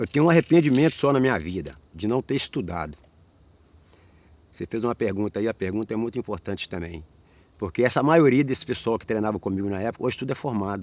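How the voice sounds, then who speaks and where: Talking very fast at a medium pitch, a man uses lively intonation. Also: dry, close sound with no echo. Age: 60s. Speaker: capoeira master. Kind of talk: oral history interview.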